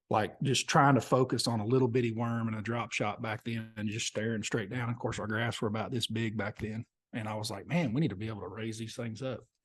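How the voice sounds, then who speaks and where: Over a quiet background, a man with an Oklahoma accent talks at a very fast pace with hardly any pauses. His pitch is medium for a man and his intonation fairly even. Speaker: professional bass angler. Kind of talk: casual chat.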